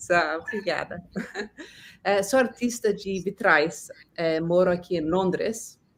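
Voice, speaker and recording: Speaking very slowly with long, frequent pauses, a woman uses a medium pitch and ordinary pitch variation. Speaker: stained glass artist. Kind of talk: interview. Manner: halting.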